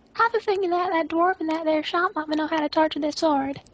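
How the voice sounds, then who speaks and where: A woman does a squeaky, put-on character voice with an extremely high pitch, in a Southern US accent as part of the act. She talks at a fairly quick pace with fairly even intonation. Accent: American southern. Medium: actual play. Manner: folksy.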